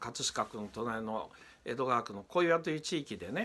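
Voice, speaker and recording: Speaking at a fairly slow pace, a man uses a bright, sharp tone with ordinary pitch variation. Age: 50s. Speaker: politician. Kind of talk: political commentary. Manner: frequent filler pauses. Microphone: phone near.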